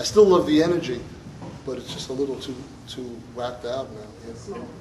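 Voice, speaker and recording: A man with a Brooklyn accent and medium pitch talks at a fairly quick pace, with audible room echo and noticeable background noise. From New York (Brooklyn). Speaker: musician. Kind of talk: audience Q&A. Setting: stage with audience. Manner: halting.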